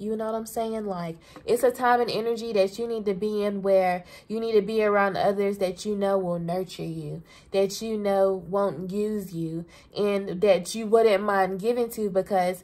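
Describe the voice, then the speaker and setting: In a Southern US accent, a woman with a dark, mellow tone speaks at a moderate pace. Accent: Southern US country. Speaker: tarot reader. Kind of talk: casual, profane, energetic. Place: home room. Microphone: phone near.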